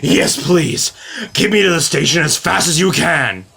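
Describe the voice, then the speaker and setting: This man puts on a character voice pitched high, with lively intonation. He speaks at a moderate pace and keeps his loudness very even. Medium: read story. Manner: pompous, proper.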